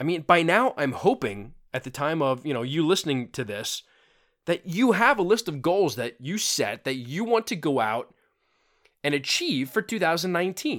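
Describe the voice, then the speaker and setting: Recorded very cleanly against a silent background, a man speaks at a moderate pace in a fairly high pitch with very wide pitch swings. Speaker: fitness podcaster. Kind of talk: unscripted solo podcast monologue. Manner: casual, with frequent fillers and repetitions.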